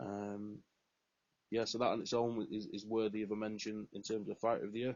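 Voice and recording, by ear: A man talks at a fairly quick pace with a fairly low pitch. His tone is slightly mellow, with little pitch movement.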